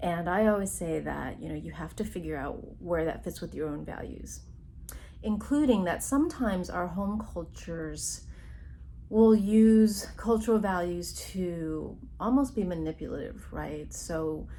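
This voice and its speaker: A woman speaks at a fairly slow pace, her loudness swinging widely. Audible echo fills the room. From immigrant Taiwanese Chinese family background. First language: Chinese (Mandarin or Taiwanese). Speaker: psychologist. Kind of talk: recorded workshop talk. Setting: remote recording.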